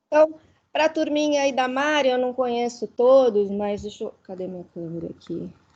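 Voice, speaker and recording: A woman talks with a high pitch and lively intonation. Her loudness swings widely. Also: moderate pace. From Chile. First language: Spanish (speaking Portuguese). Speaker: university committee member. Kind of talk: online cine debate discussion. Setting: video call.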